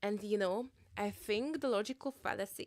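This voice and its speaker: A woman with an Eastern European accent at a fairly slow pace, on a very clean recording with a silent background. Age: 30s. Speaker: livestreamer. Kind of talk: casual livestream chat.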